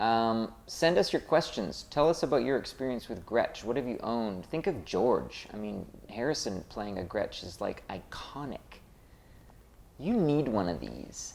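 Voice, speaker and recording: With vocal fry and an animated tone, a man speaks fairly slowly in lively intonation. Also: medium pitch for a man. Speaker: guitar shop demo presenter. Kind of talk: casual product demo chat.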